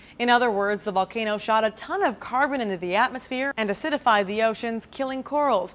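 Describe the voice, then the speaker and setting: A woman speaks in an unremarkable speaking voice, fairly high in pitch. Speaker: news presenter. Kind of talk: scripted news reading, polished broadcast delivery. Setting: studio. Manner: steady, even-paced and formal.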